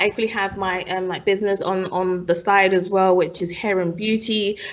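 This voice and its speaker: At a fairly quick pace, a woman speaks at a medium pitch in a London accent. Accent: London English with Nigerian heritage. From East London, Stratford. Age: 20s. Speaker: podcast co-host, pharmacist. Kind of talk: casual chat. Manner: animated.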